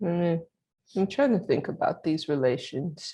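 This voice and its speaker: A woman mumbles in a put-on character voice of fairly low pitch, with lively intonation at a fairly slow pace. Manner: mumbling, thinking aloud.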